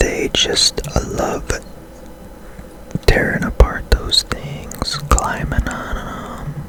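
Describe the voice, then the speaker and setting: Whispering at a very slow pace with long, frequent pauses, over noticeable background noise. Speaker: ASMR gaming streamer. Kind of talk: ASMR gameplay commentary. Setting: home room, foam panels removed. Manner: whispering softly.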